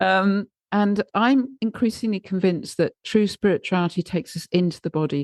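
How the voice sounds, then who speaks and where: A woman's normal speaking voice, medium in pitch, at a moderate pace with ordinary pitch variation over a quiet background. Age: 60s. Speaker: podcast host. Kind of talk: conversational interview.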